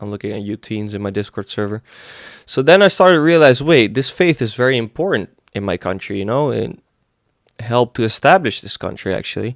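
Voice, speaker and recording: A man with a Greek accent speaks at a fairly quick pace, with big swings in loudness. The sound is dry and close with no echo. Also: medium pitch for a man, very clean recording, silent background. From Greece. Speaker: religious meme YouTuber. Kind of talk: casual Q&A vlog. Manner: halting.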